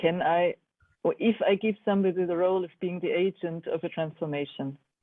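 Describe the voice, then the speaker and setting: Someone speaks with a German accent at a fairly quick pace. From Germany. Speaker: art educator. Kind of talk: online seminar discussion. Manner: halting.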